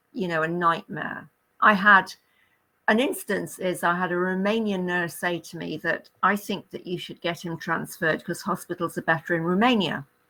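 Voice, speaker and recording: A woman with a British accent speaks fairly slowly in a fairly low voice with a bright, sharp tone. Her intonation is fairly even, and the recording is very clean, with a silent background. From Great Britain. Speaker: retired nurse. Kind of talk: interview answer.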